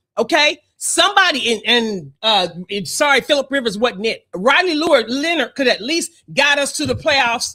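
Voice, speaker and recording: At a moderate pace, a woman speaks in a high, bright, sharp voice with an animated tone and very wide pitch swings. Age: 60s. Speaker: sports podcast co-host. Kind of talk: casual sports debate.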